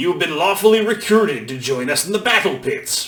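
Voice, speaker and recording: A put-on character voice runs at a fairly quick pace. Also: man. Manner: shouting.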